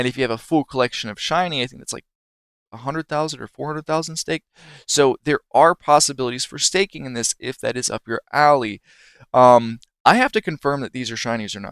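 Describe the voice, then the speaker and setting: At a medium pitch with ordinary pitch variation, a man speaks at a fairly quick pace. The sound is dry and close with no echo, in a very clean recording with a silent background. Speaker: streamer. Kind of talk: tutorial.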